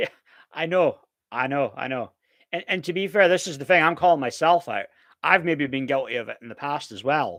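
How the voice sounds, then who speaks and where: In a very clean recording with a silent background, a man talks at a fairly quick pace with a slight Scottish accent. His pitch is fairly high with ordinary variation, and his loudness swings widely. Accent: Scottish, mild and somewhat refined. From Scotland, Aberdeen. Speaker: live-stream streamer. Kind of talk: live stream chat. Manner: casual, halting with repetitions.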